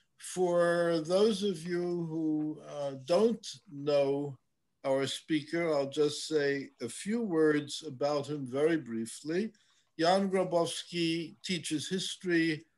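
The man's pace is very slow. His pitch shows ordinary variation. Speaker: host introducing a lecture speaker. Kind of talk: formal introduction. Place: home room. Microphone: webcam.

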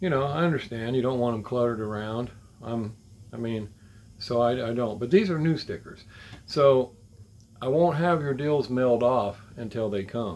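Speaking at a moderate pace with ordinary pitch variation, a man leaves long, frequent pauses. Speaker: diecast collector vlogger. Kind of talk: casual vlog chat. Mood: relaxed, chuckling. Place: home room.

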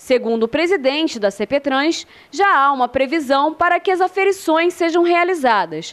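A woman's high pitch with lively intonation, very even loudness and a moderate pace. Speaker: TV news reporter. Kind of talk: news report narration. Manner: formal.

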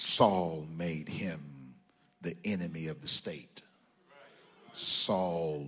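A man's very deep, low voice at a very slow pace. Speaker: preacher. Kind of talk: sermon. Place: church. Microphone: handheld.

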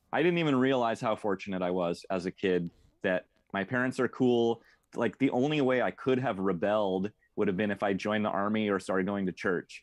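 A man with an American accent speaks fairly quickly at a fairly low pitch, with ordinary pitch variation and very even loudness. It's an ordinary speaking voice against a quiet background. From rural Oregon, Mid Valley; Oregon. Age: 40s. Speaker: metal drummer and tour booker; podcast guest. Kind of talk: casual interview chat. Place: home room. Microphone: earbuds.

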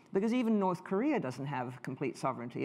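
Very fast is the pace at which a woman speaks. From Canada. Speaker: history professor; speaker. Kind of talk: lecture. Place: hall.

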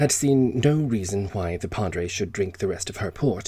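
Lively intonation in plain reading aloud

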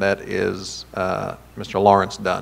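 With an American accent, a man talks at a fairly low pitch. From US, southwest Virginia. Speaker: mayor chairing city council. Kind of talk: council meeting proceedings. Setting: city council chamber. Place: hall. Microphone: podium.

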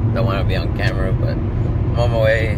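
Loud background noise runs under speech at a moderate pace with a dry sound and no echo. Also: man. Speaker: vlogger driving family. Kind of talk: casual vlog chat. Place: car. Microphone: phone near.

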